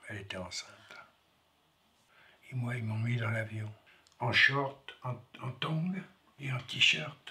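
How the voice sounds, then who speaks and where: At a very slow pace and with long, frequent pauses, a man talks at a medium pitch with ordinary pitch variation. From France. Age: 70s. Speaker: foyer resident. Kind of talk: testimony.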